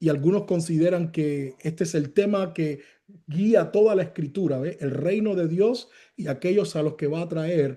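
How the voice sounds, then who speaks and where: A man with a high pitch and a dark, mellow tone speaks at a fairly slow pace with ordinary pitch variation. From Cuba. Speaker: pastor. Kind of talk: sermon. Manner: loud, raises voice.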